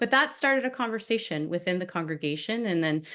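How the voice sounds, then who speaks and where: Talking at a very fast pace, a woman sounds bright and sharp in tone against a quiet background. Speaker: minister presenting a workshop. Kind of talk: online workshop presentation. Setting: video call with screen sharing.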